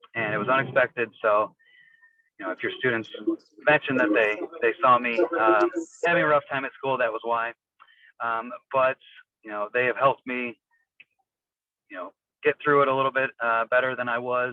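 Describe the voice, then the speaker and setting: A man with an American accent at a medium pitch, moderate pace and fairly even intonation, with long, frequent pauses. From northern Illinois (small town west of Chicago). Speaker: teacher. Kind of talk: school open house introduction. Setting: phone call from a car. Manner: many fillers (um, uh). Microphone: on the phone.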